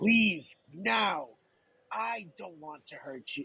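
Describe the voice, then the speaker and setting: A put-on character voice at a middle pitch, very slow, with very wide pitch swings. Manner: menacing, reluctant warning.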